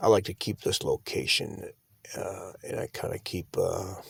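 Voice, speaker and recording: A soft-spoken man talks at a fairly slow pace. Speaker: van life vlogger. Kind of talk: casual vlog talk.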